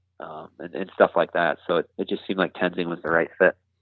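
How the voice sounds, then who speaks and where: Here a man speaks with a Wisconsin accent. His intonation is monotone and flat. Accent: Upper Midwest (Wisconsin). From southwest Wisconsin, Richland County. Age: 20s. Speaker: bowhunter reviewing gear. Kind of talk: casual interview. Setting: phone call.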